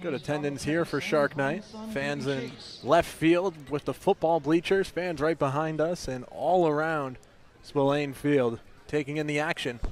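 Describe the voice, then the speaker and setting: A man with an unremarkable speaking voice, fairly high in pitch, fairly slow, with fairly even intonation. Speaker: sports broadcaster. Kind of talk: baseball radio play-by-play.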